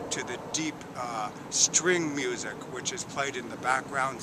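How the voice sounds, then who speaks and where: Over noticeable background noise, a man talks at a very slow pace in a dry sound with no echo. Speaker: theater reviewer. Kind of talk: spoken review to camera. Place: waterside. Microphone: phone near.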